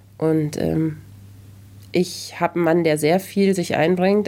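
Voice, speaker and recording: A woman with fairly low pitch and fairly even intonation. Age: 40s. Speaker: journalist and podcast host. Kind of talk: casual interview chat.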